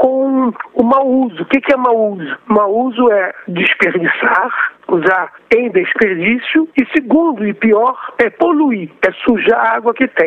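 Amid noticeable background noise, a man speaks fairly slowly at an extremely high pitch that swings very widely. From Rio de Janeiro, Brazil. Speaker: professor of water resources. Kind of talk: interview.

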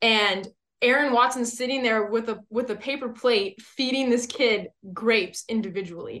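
Speaking at a moderate pace with an American accent, a woman has a fairly high pitch, a bright, sharp tone and fairly even intonation. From US West Coast. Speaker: country rock singer. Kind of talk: casual chat.

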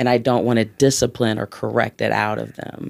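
In a very clean recording with a silent background, the talking goes at a fairly quick pace. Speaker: guest. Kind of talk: casual interview conversation.

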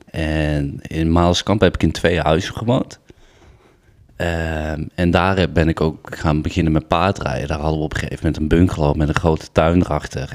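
A man speaks with a very deep, low pitch and vocal fry. His intonation stays fairly even. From Den Bosch, Netherlands. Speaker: former show jumper. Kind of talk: casual chat. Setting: at the kitchen table.

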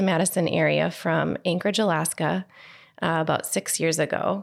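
The intonation is fairly even, in a very clean recording with a silent background. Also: woman. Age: 40s. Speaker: elementary school teacher and graduate alumna. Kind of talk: interview testimony. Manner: halting, with many fillers.

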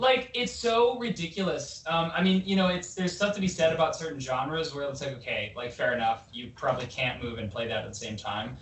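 In a room with audible echo, a man with a Canadian accent and a fairly high voice talks at a fairly quick pace, his pitch swinging very widely. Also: hardly any pauses. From Vancouver, Canada. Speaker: rock band member. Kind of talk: casual chat. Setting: video call.

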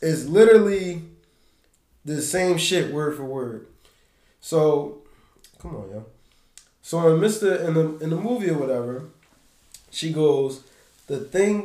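A man talks fairly slowly in a fairly high pitch, with lively intonation, big swings in loudness and long, frequent pauses. Room echo is audible. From Philadelphia. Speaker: podcast host. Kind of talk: casual chat.

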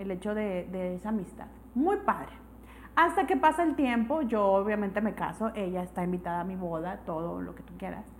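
Lively intonation from a woman talking fairly quickly. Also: medium pitch for a woman. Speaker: podcast co-host. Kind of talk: casual chat.

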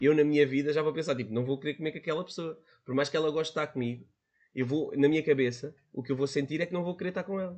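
A man with a European Portuguese accent speaks very fast at a fairly high pitch. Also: ordinary pitch variation. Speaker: podcast guest. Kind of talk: casual chat.

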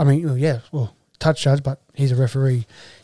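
This man speaks at medium pitch and a fairly quick pace, with an Australian accent. His tone is dark and mellow, and somewhat breathy. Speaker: rugby league podcast host and junior coach. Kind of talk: casual chat.

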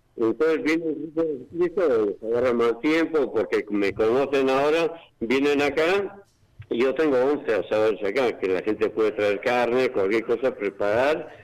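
This man's fairly high voice has lively intonation and very even loudness. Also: fairly slow pace. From Basque Country, Spain (Bergara, Gipuzkoa). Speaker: amateur weather observer. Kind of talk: phone interview.

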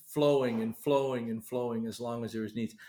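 This man has an unremarkable speaking voice, pitched in the middle range, and his intonation stays fairly even. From eastern Canada. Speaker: missionary pastor. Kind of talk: interview.

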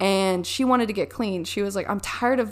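A woman with an ordinary speaking voice at medium pitch talks at a fairly quick pace with fairly even intonation, on a very clean recording with a silent background. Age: 20s. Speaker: faith testimony guest. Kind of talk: testimony.

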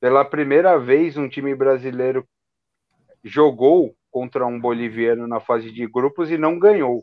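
A man talks in an ordinary speaking voice. His pitch variation is ordinary. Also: medium pitch for a man, fairly slow pace. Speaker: football podcast co-host. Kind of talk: casual chat.

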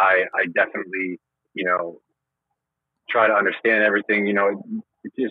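A man with a fairly low pitch and a slightly husky edge speaks at a moderate pace, the sound dry and close with no echo.

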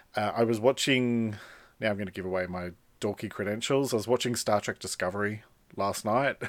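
A fairly low-pitched man with an Australian accent at a fairly quick pace, fairly even intonation, on a very clean recording with a silent background. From Australia, western Sydney. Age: 40s. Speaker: podcast host, author and speaker. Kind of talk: solo podcast monologue. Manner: casual, conversational.

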